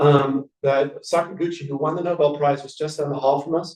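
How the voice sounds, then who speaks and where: This man has a fairly high pitch. His intonation is monotone and flat. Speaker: physician scientist. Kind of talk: lecture. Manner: fast; halting.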